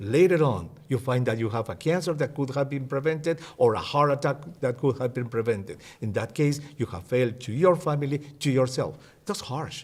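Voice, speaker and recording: Speaking at a fairly quick pace with a Spanish accent, a man uses a medium pitch with ordinary variation and a somewhat breathy voice. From Peru. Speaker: physician and health educator. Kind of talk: interview.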